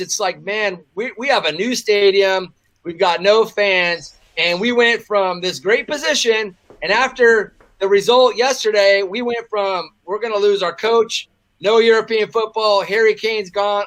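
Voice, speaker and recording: In an American accent, a man speaks high-pitched at a fairly slow pace with ordinary pitch variation. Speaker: football fan pundit. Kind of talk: podcast discussion.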